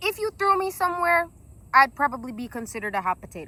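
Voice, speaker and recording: In an American accent, the voice is raised and projected, with an animated tone. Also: woman. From South Carolina. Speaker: vlogger. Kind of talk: casual vlog monologue. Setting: outdoors. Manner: loud.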